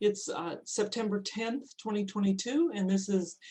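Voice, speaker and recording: A woman's somewhat breathy voice of medium pitch, dark and mellow in tone, with ordinary pitch variation. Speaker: oral history facilitator. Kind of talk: event introduction.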